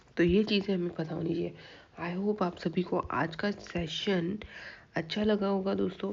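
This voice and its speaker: A woman uses a put-on character voice that is raspy and hoarse, at a medium pitch. Her intonation stays monotone and flat at a moderate pace. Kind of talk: lecture session wrap-up to an audience.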